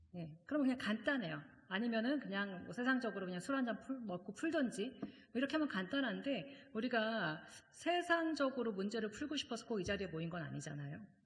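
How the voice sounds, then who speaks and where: A woman at a fairly quick pace with very wide pitch swings, audible room echo and noticeable background noise. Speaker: seminary professor and guest preacher. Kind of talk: sermon. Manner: fast; conversational, many fillers.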